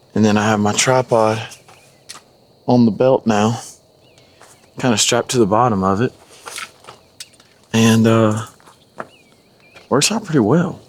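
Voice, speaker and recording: A man at medium pitch speaks fairly slowly with fairly even intonation, very even loudness and long, frequent pauses amid noticeable background noise. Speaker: hunting vlogger. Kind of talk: hunting vlog narration. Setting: outdoors.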